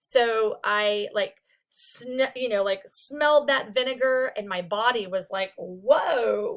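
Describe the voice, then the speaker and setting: A woman speaks loudly. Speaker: psychology instructor. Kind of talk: recorded lecture. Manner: casual, filler-heavy.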